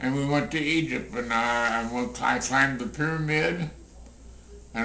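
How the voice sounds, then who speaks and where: Someone talks at a fairly slow pace with an American accent, amid noticeable background noise and audible room echo. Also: man. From US Midwest. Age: 80s+. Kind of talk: interview. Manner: halting.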